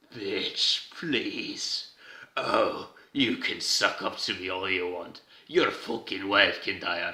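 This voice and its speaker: A man's put-on character voice at a very slow pace. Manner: scornful, mocking.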